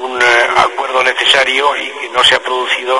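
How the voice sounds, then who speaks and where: A man keeps a moderate pace, and noticeable background noise is present. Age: 50s. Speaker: politician. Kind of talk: radio interview. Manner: hesitant, many fillers.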